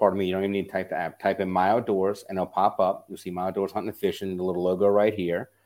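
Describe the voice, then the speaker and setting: A man with a South Louisiana accent, very fast and fairly low-pitched, on a very clean recording with a silent background. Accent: South Louisiana Southern US. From US South, South Louisiana. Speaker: app founder. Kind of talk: podcast interview.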